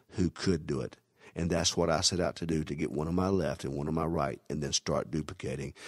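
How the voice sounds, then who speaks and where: On a very clean recording with a silent background, a man's voice shows vocal fry and ordinary pitch variation in a dry, close sound with no echo. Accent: Southern US. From US South. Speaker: network marketing recruiter. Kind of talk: sales pitch.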